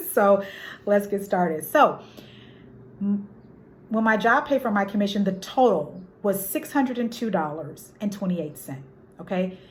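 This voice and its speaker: Somewhat breathy speech with lively intonation comes with long, frequent pauses and audible room echo. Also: woman, medium pitch for a woman. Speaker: notary and loan signing agent. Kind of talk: tutorial. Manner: fast; halting.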